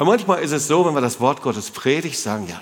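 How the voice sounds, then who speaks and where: Over noticeable background noise and audible room echo, a man speaks with lively intonation and a fairly high voice. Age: 60s. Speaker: pastor. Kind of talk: sermon. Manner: animated.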